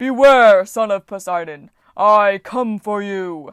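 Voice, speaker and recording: A woman bellowing in a put-on character voice at a medium pitch and fairly slow pace, on a very clean recording with a silent background. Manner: roaring, bellowing.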